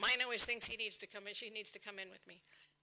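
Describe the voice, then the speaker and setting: A woman speaks in an animated tone. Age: 60s. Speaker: skincare speaker. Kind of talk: conference talk.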